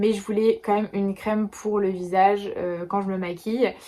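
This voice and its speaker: Her dark, mellow voice sits at a medium pitch, and the woman speaks fairly quickly in a flat monotone. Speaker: beauty and lifestyle vlogger. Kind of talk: casual vlog talk to camera. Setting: shopping trip at a flea market. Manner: fast; hesitant with many fillers.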